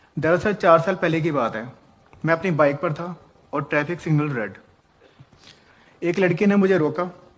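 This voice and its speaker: A man speaks in a high voice. He leaves long, frequent pauses. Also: ordinary pitch variation, moderate pace. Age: 30s. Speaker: man recounting false harassment accusation. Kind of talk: personal testimony.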